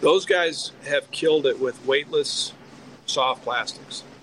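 A man with an American accent speaks at a very slow pace with long, frequent pauses over noticeable background noise. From Wisconsin. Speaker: professional bass angler and fishing guide. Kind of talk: casual interview. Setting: remote call.

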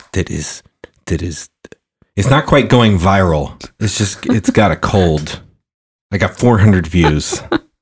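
A man's very deep, low, somewhat breathy voice at a fairly slow pace, with long, frequent pauses and ordinary pitch variation. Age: 30s. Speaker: indie rock musician. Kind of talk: casual chat. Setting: studio.

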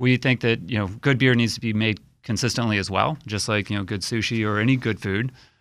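An ordinary speaking voice moves at a fairly quick pace with fairly even intonation and hardly any pauses. The recording is very clean, with a silent background. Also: man, medium pitch for a man. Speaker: brewery co-founder. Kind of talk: casual radio interview. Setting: studio.

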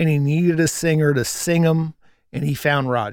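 An ordinary speaking voice from a man, fairly high in pitch, at a moderate pace with fairly even intonation. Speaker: radio professional and Who fan. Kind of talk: casual chat.

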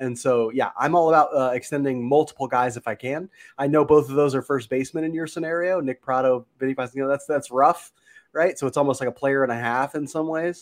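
A man with a fairly high voice talks at a very fast pace. His intonation stays fairly even, and the sound is dry and close with no echo. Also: quiet background. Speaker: baseball analyst guest. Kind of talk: casual sports podcast chat.

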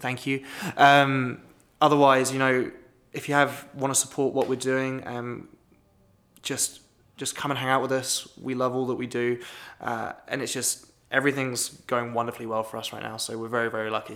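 In a British accent, a man talks at a medium pitch with monotone, flat intonation. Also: moderate pace. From Britain. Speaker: manager of a young adult professional network. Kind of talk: podcast interview.

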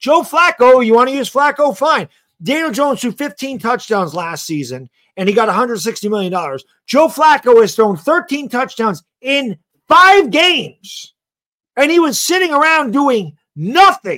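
A man's raised, projected voice at an extremely high pitch, bright and sharp in tone, with very wide pitch swings, a fairly slow pace and a very clean recording over a silent background. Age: 40s. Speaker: football podcaster. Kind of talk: casual chat.

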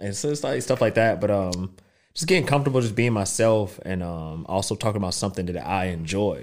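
Speaking at a fairly quick pace, a man uses a fairly low pitch and lively intonation. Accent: Southern US. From US South. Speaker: podcast guest. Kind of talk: casual chat. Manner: fast talker.

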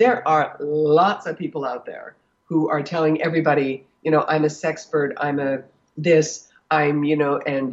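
Low in pitch, a woman's voice has a slightly husky edge.

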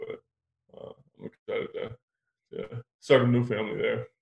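This is a man speaking with an American accent. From US Midwest (Minneapolis). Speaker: football player. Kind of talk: interview.

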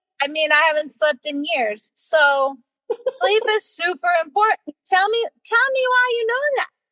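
In an American accent, a woman uses a raised, projected voice with an extremely high pitch and very wide pitch swings. Her tone is bright and sharp, recorded in a dry, close sound with no echo. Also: moderate pace. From US Northeast, New York City. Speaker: obstetrician-gynecologist. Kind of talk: casual interview.

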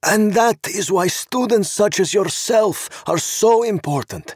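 A man's shaky, high put-on character voice at a fairly slow pace, dry and close with no echo. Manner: emotional.

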